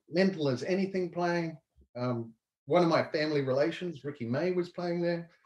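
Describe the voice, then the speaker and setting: A man's fairly high voice with a New Zealand accent, ordinary pitch variation and a moderate pace, set in a quiet background with audible room echo. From western New Zealand. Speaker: entrepreneur; guest. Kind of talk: casual interview chat. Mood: relaxed, reflective. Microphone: video call.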